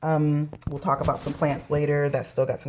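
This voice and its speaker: A woman speaks at a very deep, low pitch. Her pace is fairly quick. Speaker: miniature craft YouTuber. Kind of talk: casual chat. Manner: hesitant, many fillers.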